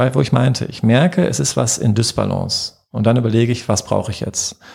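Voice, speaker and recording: A man's fairly low-pitched voice with vocal fry, moving at a fairly quick pace. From western Germany, Herdecke. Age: 40s. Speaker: physician. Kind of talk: casual interview.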